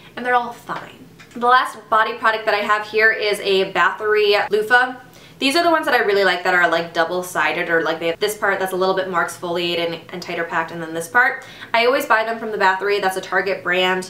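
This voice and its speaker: Speaking very fast at a medium pitch with ordinary pitch variation, a woman is heard through audible room echo and noticeable background noise. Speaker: beauty vlogger. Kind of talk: product review vlog.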